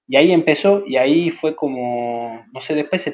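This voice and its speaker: A man speaks in a plain, everyday voice at a fairly high pitch. His pitch variation is ordinary. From Jujuy, northern Argentina. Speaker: psychologist. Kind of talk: interview.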